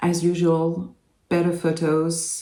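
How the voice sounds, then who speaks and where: In a French accent, a woman speaks at a very slow pace with a very deep, low pitch and a dark, mellow tone, with audible room echo. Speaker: doll collector YouTuber. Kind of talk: unboxing video. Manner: hesitant, many fillers.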